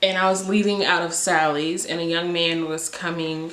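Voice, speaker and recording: Speaking with an American accent, the woman has a fairly low pitch. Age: 20s. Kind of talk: casual story time to camera.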